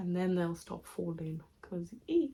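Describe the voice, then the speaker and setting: A woman speaks at a very slow pace. Her medium-pitched voice is somewhat breathy. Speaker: hair care vlogger. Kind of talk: tutorial. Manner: casual, chatty.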